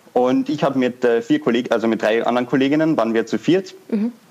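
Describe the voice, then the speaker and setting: Noticeable background noise sits behind a man talking at a fairly quick pace. His pitch is medium, with ordinary pitch variation. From Austria, Vienna. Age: 20s. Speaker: founder of a fashion startup. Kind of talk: interview.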